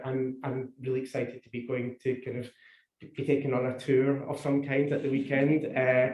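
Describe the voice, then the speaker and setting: In a Scottish accent, a man with a fairly high pitch and a dark, mellow tone speaks at a moderate pace, sounding somewhat breathy. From Scotland. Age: old. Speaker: public health official. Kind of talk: seminar talk. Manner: halting, many repetitions.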